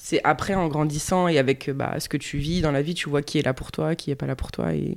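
A woman's very deep, low pitch at a fairly quick pace, on a very clean recording with a silent background. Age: 30s. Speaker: civil servant. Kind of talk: casual chat. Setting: at the host's home.

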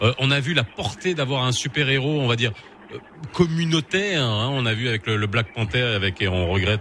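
A man with a medium pitch talks at a moderate pace, his pitch swinging very widely, with noticeable background noise behind him. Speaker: radio host. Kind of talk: morning radio talk show.

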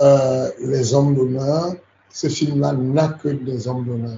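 A somewhat breathy man at medium pitch speaks at a very slow pace. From Cameroon. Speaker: MMA coach. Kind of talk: interview. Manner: halting.

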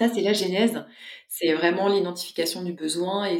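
At a moderate pace, a woman talks in a normal speaking voice with a fairly low pitch. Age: 40s. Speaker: social entrepreneur. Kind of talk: interview.

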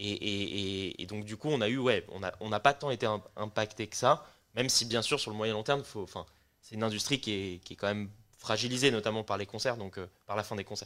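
On a very clean recording with a silent background, a man with an ordinary speaking voice talks fairly quickly at a fairly low pitch, with fairly even intonation and big swings in loudness. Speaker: music startup co-founder. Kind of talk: casual chat.

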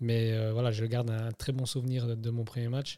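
Fairly quick, monotone speech from a man with flat intonation, on a very clean recording with a silent background. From Switzerland, Neuchâtel. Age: 30s. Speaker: football referee. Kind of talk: interview.

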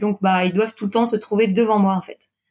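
This woman has a plain, everyday voice pitched in the middle of her range. Her intonation is fairly even. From Brittany, France (Quimper, south Finistère). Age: 30s. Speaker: PE teacher and amateur runner. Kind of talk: interview.

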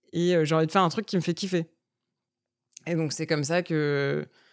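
On a very clean recording with a silent background, a woman speaks fairly quickly in a flat monotone. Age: 30s. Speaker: entrepreneur. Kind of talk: casual chat.

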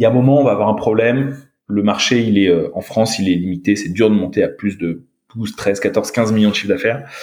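A man at medium pitch, with ordinary pitch variation and a fairly quick pace. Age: 30s. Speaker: startup co-founder. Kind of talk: interview. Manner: halting.

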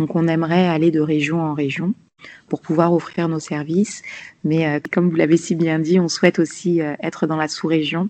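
The tone is dark and mellow, and the pace is moderate. Intonation stays monotone and flat. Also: woman, fairly low pitch for a woman. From Paris region, France (Malian family). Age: 30s. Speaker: nurse and health entrepreneur. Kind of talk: interview.

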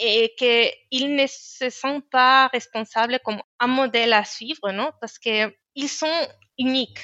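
Speaking at a very slow pace in a Spanish accent, a woman keeps a high pitch and fairly even intonation. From Spain. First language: Spanish (speaking French). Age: 30s. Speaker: engineer. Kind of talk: interview. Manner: halting, many hesitations and repetitions.

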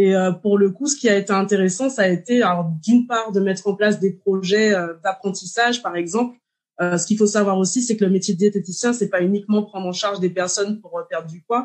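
This woman talks at a fairly quick pace with a medium pitch and fairly even intonation. She has a normal speaking voice. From Martinique. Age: 30s. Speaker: dietitian. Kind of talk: interview.

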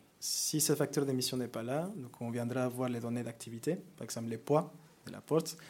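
A man's medium-pitched voice with a Mexican accent. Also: ordinary pitch variation, moderate pace. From Mexico. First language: Spanish (speaking French). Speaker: corporate climate manager. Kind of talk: conference presentation. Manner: hesitant, many fillers.

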